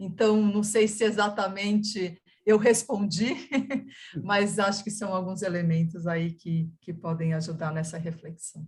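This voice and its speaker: At a fairly slow pace, a woman speaks in a somewhat breathy, medium-pitched voice with fairly even intonation. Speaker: museum professional. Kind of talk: panel discussion answer.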